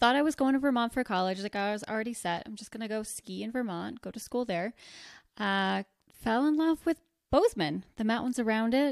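Fairly quick and fairly high, a woman speaks in a normal speaking voice with an American accent, ordinary pitch variation and big swings in loudness. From US Northeast (rural northwest New Jersey). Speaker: lingerie shop owner. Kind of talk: casual chat.

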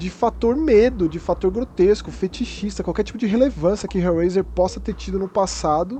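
A man is talking at a moderate pace. He takes hardly any pauses. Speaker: podcast host. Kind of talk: casual chat.

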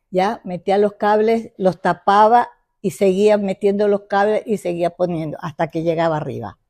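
A woman of medium pitch speaks at a moderate pace with a dark, mellow tone and ordinary pitch variation, in a dry, close sound with no echo. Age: 90s. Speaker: traditional pastry maker. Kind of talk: casual interview. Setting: at her home.

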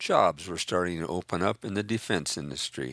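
Vocal fry runs through this man's speech, delivered with an American accent and ordinary pitch variation. The recording is very clean and silent behind him, with a dry, close sound and no echo. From Northern California. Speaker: memoirist. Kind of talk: reading aloud.

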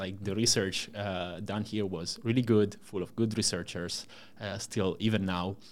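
A man with an Italian accent talks at a fairly low pitch and a moderate pace, using ordinary pitch variation. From Italy. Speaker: startup co-founder and CTO. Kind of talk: interview. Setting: podcast recording.

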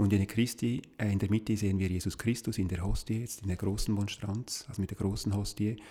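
The man's voice is fairly low, somewhat breathy and dark and mellow in tone. He holds a moderate pace with fairly even intonation on a very clean recording with a silent background. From Switzerland, Appenzell. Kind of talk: interview conversation. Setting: sacristy of a small chapel.

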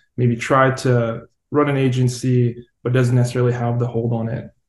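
This man's voice sits at a medium pitch and has a dark, mellow tone. It comes across as somewhat breathy. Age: 20s. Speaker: podcast host. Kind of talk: casual interview.

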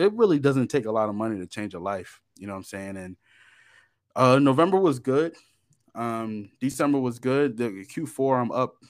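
A man speaks at medium pitch and a moderate pace with lively intonation. The recording is very clean, with a silent background. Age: 30s. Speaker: forex trader. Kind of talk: interview. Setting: internet call.

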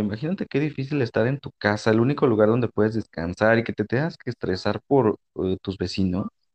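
A man with an unremarkable speaking voice talks at a moderate pace in a medium pitch, his intonation lively. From Mexico, Monterrey. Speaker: podcast host. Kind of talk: casual chat. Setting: studio.

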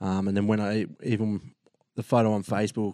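A man with an Australian accent has a fairly low pitch and a dark, mellow tone. He speaks in a monotone, flat way, with a dry, close sound with no echo. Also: quiet background. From Australia, New South Wales south coast. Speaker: photographer and videographer, ex-navy. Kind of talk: casual interview chat. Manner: hesitant, many fillers.

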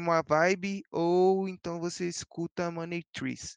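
With ordinary pitch variation, the man's voice sits high. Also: dry, close sound with no echo. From Brazil, São Paulo East Zone. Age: young. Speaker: DJ. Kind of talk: casual chat.

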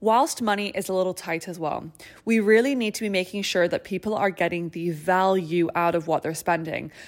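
A woman at medium pitch and a fairly quick pace, with ordinary pitch variation, on a very clean recording with a silent background. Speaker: podcast host, lash artist business owner. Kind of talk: casual solo podcast talk.

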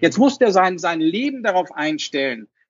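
A man talks at a moderate pace in a high voice. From Hamburg, northern Germany. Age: 40s. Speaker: financial advisor, association chairman. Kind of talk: interview. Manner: hesitant, many fillers.

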